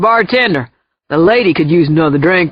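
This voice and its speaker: A put-on character voice at a middle pitch and fairly quick pace. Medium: read story. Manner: pushy, leering.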